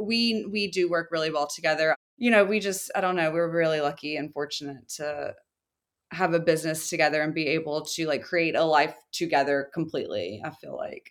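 A woman with an American accent has an ordinary speaking voice, fairly low in pitch, going at a fairly quick pace with ordinary pitch variation. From US South, small town. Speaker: furniture maker and business co-owner. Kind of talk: interview.

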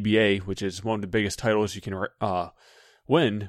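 An unremarkable speaking voice from a man with an American accent, pitched fairly low. His intonation stays fairly even at a moderate pace, on a very clean recording with a silent background. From California. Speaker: downhill racer and YouTuber. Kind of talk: casual interview.

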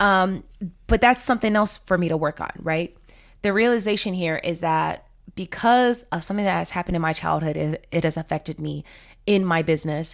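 Here is a plain, everyday voice at a fairly quick pace with ordinary pitch variation. The recording is very clean, with a silent background. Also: woman, fairly low pitch for a woman. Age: 30s. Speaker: podcast host, marketing coach. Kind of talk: casual solo monologue.

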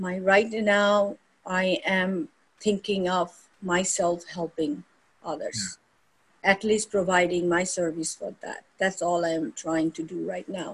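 Speaking at a very slow pace, a woman has a somewhat breathy voice with ordinary pitch variation. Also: medium pitch for a woman. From India (Kolkata). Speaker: yoga teacher. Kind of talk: interview conversation. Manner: halting.

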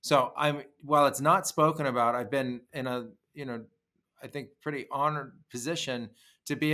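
Recorded very cleanly against a silent background, a man talks at a fairly high pitch with fairly even intonation. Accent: American. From California, Los Gatos. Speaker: podcast host. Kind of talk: casual interview chat.

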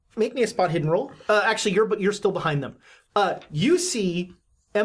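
Someone reads in an unforced reading voice with lively intonation. Little sound comes from the quiet background.

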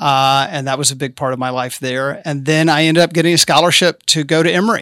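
In a slight Southern US accent, a man speaks with a bright, sharp tone, recorded very cleanly against a silent background with a dry, close sound and no echo. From rural Arkansas. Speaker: city council candidate. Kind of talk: interview.

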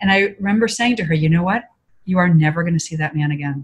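Somewhat breathy speech comes at a very fast pace with ordinary pitch variation. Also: woman. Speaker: author and consultant. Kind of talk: interview.

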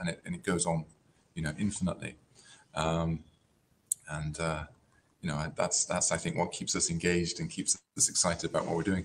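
Delivered at a fairly quick pace with long, frequent pauses, the speech has a West Country accent and a monotone, flat intonation. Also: man. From West Country, England. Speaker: karate teacher. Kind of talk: interview.

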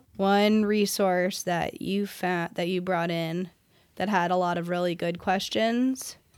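A soft-spoken woman, fairly low in pitch, fairly even in intonation and fairly slow, on a very clean recording with a silent background. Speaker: podcast host.

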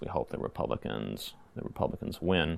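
The speaker has an American accent and vocal fry. The pace is fairly quick. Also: man. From Virginia (Lynchburg area), US South. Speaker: school principal. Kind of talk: interview conversation. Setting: school building.

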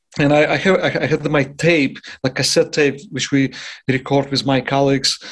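The speaker has a Russian accent and fairly even intonation at a fairly slow pace. The background is quiet. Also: man. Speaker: jazz trumpet player. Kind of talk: interview.

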